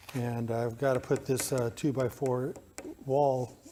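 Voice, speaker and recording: A man with a fairly high voice speaks over light background noise. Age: 60s. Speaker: DIY builder. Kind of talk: tutorial. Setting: workshop. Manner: halting. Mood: relaxed, friendly. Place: workshop. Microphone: phone near.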